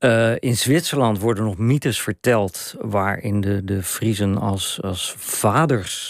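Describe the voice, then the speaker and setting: A man's fairly low voice at a very slow pace with ordinary pitch variation, in a dry sound with no echo over a quiet background. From Randstad, Netherlands; Netherlands. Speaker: journalist and author; journalist. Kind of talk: radio interview. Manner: halting. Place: studio. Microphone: studio mic.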